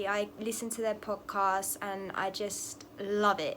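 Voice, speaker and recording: A woman with an English accent speaks at a fairly slow pace. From England. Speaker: tarot reader. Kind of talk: casual talk to camera.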